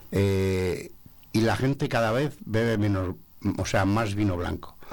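This man has a fairly low pitch and a normal speaking voice. His pitch varies in an ordinary way. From Segovia province, Spain. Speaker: sommelier association president. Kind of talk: radio interview. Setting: radio studio.

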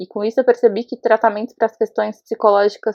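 A woman speaks at medium pitch. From Brazil, Osasco, São Paulo. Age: 30s. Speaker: interviewee sharing personal experience. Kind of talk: testimony.

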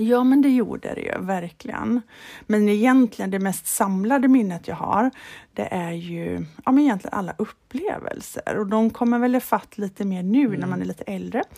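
With a dark, mellow tone, a woman speaks at a moderate pace in a medium pitch with ordinary pitch variation. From Sweden, Halland (Falkenberg). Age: 40s. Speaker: golf club manager, former touring golf pro. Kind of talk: casual interview. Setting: remote call.

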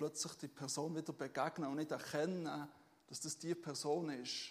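At a moderate pace, a man with a normal speaking voice talks at a fairly high pitch with ordinary pitch variation. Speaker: pastor. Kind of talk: sermon. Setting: church stage with audience. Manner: relaxed, conversational and informal, with many filler sounds and self-corrections; warm and humble, with humorous asides and a personal tone.

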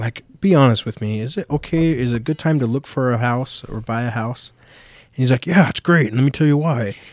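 Recorded very cleanly against a silent background with a dry, close sound and no echo, a man of medium pitch talks at a fairly quick pace with ordinary pitch variation in an ordinary speaking voice. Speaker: podcast co-host. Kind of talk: casual chat.

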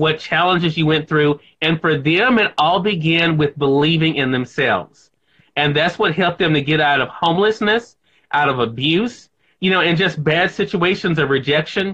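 Speaking at a moderate pace, a man keeps his loudness very even, with a fairly high pitch and ordinary pitch variation. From Mississippi, US South. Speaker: radio and TV host, author. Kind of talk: interview.

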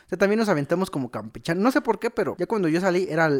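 With a Mexican accent, a man talks in very wide pitch swings on a very clean recording with a silent background. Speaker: podcast co-host. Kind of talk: casual chat.

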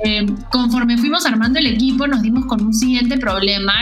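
Amid noticeable background noise and audible room echo, a woman with a Peruvian accent speaks at a high pitch with ordinary pitch variation. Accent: Peruvian Spanish (Lima). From Peru, Lima. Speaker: tech education entrepreneur. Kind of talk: interview.

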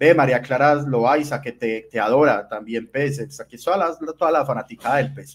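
In a plain, everyday voice, a man with fairly high pitch talks at a moderate pace with hardly any pauses, ordinary pitch variation and big swings in loudness. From Colombia, Medellín. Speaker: podcast host. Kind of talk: casual chat. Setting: livestream.

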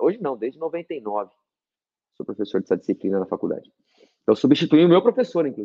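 A man races along at a very fast pace, his pitch swinging very widely. Vocal fry runs through his voice. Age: 50s. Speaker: naturopath and university professor. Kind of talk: casual interview chat.

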